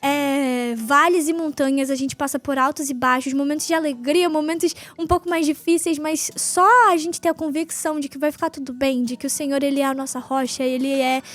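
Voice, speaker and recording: A woman talks in a high pitch with hardly any pauses and fairly even intonation. Noticeable background noise can be heard. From northern Brazil, Belém do Pará. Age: 20s. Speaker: podcast host. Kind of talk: casual faith talk. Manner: fast.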